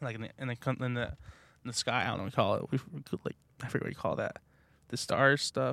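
Speaking very fast but with long, frequent pauses, a man with an American accent is recorded in a dry, close sound with no echo. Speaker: podcast host. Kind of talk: casual chat. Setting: in a car. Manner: animated.

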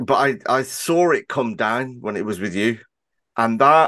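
The background is quiet. A man talks with a Birmingham accent. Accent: Birmingham English, noticeable. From Birmingham, England. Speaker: podcast host. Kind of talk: casual interview chat. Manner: fast talker, hesitant with fillers.

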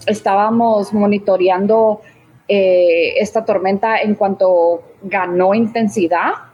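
A woman speaks at a medium pitch in a monotone, flat way. Her pace is very slow. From Guatemala. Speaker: humanitarian aid operations manager. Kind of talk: interview.

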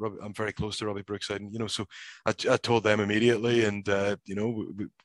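A man with a Northern Irish accent, medium pitch and fairly even intonation at a very fast pace, in a dry, close sound with no echo. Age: 30s. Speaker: professional wrestler. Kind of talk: casual interview. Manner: halting, frequent repetitions.

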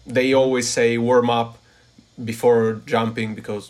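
A man with an Italian accent speaks at a fairly slow pace. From northern Italy, Turin. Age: 20s. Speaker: parkour athlete and engineering student. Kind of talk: casual chat. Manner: halting.

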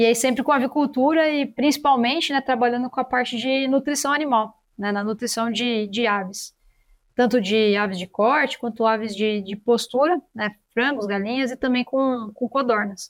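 At a moderate pace, a woman with a high pitch and ordinary pitch variation speaks in a very clean recording with a silent background. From Brazil, São Paulo city. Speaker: veterinarian and animal science researcher. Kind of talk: interview. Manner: halting, frequent repetitions.

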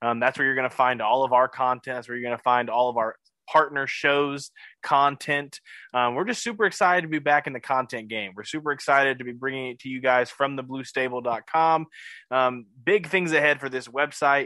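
Against a quiet background, a man talks at a fairly quick pace in a bright, sharp tone with ordinary pitch variation. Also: medium pitch for a man. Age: 20s. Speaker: sports podcast co-host. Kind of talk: casual chat.

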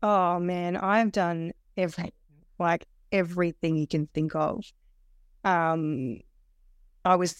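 Recorded very cleanly with a silent background, the voice has a dry, close sound with no echo, ordinary pitch variation and an Australian accent. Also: woman. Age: 40s. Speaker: weight loss program client. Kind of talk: interview, personal testimony. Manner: halting, many fillers and restarts.

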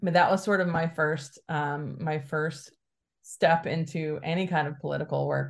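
A somewhat breathy woman with an American accent, very deep and low in pitch, monotone and flat, at a moderate pace. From Alabama, US South. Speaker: communications director of a progressive conference. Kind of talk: podcast interview.

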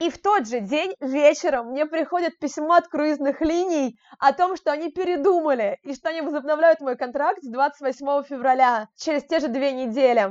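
Big swings in loudness mark this moderately paced speech, which has ordinary pitch variation and a dry, close sound with no echo. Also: woman, high pitch for a woman. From Moscow, Russia. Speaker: travel blogger and children's education organizer. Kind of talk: casual interview. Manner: animated.

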